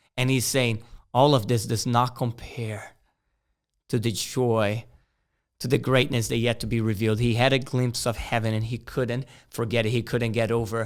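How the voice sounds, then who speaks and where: On a very clean recording with a silent background, a man with a Portuguese accent speaks in a flat monotone. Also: medium pitch for a man, moderate pace. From Brazil, Rio de Janeiro. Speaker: missionary. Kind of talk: sermon.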